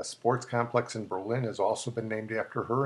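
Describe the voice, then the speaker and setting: A man's medium-pitched, somewhat breathy voice at a fairly quick pace, over a quiet background. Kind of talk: history show narration.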